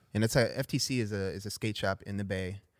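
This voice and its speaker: On a very clean recording with a silent background, a man with a Southern California accent and a fairly low pitch speaks at a fairly quick pace with fairly even intonation, the sound dry and close with no echo. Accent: Southern Californian English. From Los Angeles, San Fernando Valley. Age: 40s. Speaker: pro skateboarder. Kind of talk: casual chat. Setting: studio.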